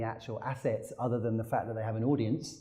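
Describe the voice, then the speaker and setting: A man's dark, mellow, somewhat breathy voice with a British accent at a very fast pace, amid audible room echo. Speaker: technology company executive. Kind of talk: conference talk. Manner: halting.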